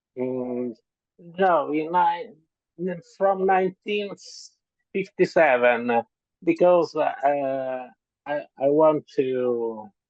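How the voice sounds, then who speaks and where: Very slow with long, frequent pauses, a man with a strong Italian accent speaks at a fairly high pitch and with lively intonation. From Italy. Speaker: author. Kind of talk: interview. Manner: halting.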